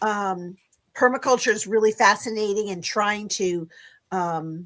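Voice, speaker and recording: This woman speaks at a medium pitch and a fairly slow pace, with ordinary pitch variation. The recording is very clean with a silent background. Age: 60s. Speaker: guest on a livestream. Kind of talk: casual chat. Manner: hesitant, many fillers.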